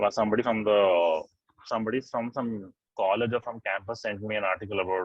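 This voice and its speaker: A man with an Indian accent talks at a fairly quick pace and a medium pitch. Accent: Indian English with Hindi code-switching. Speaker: journalist and oral historian. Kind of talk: interview answer.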